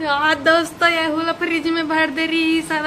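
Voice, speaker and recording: Against noticeable background noise, a woman uses a raised, projected voice at a high pitch. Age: 20s. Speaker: vlogger. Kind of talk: casual vlog chat.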